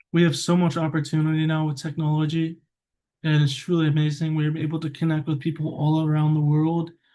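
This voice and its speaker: An unremarkable speaking voice from a man, pitched fairly high and moving at a fairly quick pace. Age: 20s. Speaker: vlogger. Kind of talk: personal vlog monologue. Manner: casual, rambling with fillers.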